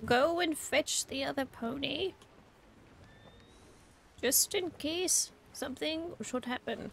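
A put-on character voice, female-sounding and high-pitched, at a fairly slow pace with long, frequent pauses. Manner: gushing, bossy.

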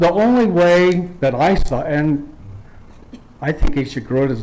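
A man is speaking here. His pace is fairly slow. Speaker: public commenter at hearing. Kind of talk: public hearing statement. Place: hall. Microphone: podium.

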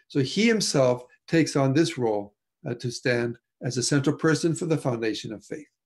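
At a fairly quick pace, a man speaks with ordinary pitch variation over a quiet background. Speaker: presenter. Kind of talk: lecture. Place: home room. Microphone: video call.

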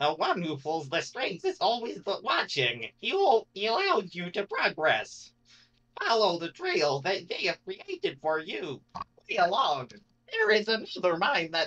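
Put-on character voice, middle in pitch, delivered fairly slowly. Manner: ominous.

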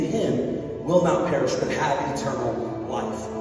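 A man speaks in a room with strong echo. Clear music plays in the background. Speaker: speaker. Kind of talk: sermon. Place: church. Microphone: pa.

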